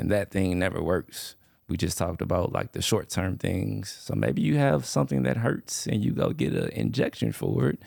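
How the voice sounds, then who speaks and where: The voice swings very widely in pitch, carries vocal fry, and moves at a moderate pace with hardly any pauses. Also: man, very deep, low pitch for a man. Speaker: physical therapist. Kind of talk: casual chat.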